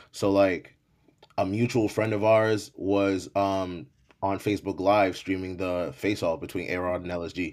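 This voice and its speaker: A man's normal speaking voice, fairly low in pitch, with fairly even intonation and a fairly slow pace. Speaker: rapper, battle rapper and DJ. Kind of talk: casual interview chat.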